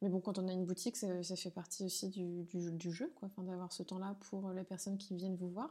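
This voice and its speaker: A woman talks at a fairly quick pace with hardly any pauses, in a medium pitch. Her tone is dark and mellow, and her intonation fairly even. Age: 30s. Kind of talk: interview.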